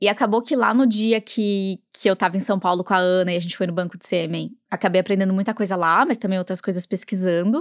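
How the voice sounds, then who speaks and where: An ordinary speaking voice comes with fairly even intonation. The sound is dry and close with no echo, in a very clean recording with a silent background. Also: woman. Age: 30s. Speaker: podcast host. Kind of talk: scripted conversational podcast.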